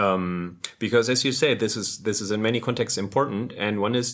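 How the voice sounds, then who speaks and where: The speaker is a man with a medium-pitched voice and ordinary pitch variation. His pace is moderate. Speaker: podcast co-host, software developer. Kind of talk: casual chat.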